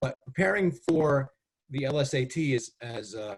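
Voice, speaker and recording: Somewhat breathy and medium in pitch, a man's voice moves with ordinary pitch variation. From US Northeast, Connecticut. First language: Spanish. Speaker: test development expert. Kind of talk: webinar presentation. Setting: video call. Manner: hesitant, many fillers.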